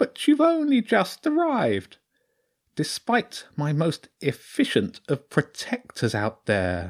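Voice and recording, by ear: On a very clean recording with a silent background, a man puts on a creaky character voice, high in pitch and at a fairly slow pace.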